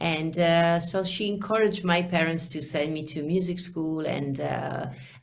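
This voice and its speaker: A woman with an Italian accent, fairly low pitch and fairly even intonation at a moderate pace, amid audible room echo and noticeable background noise. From Venice, Italy. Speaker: singer. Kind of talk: interview.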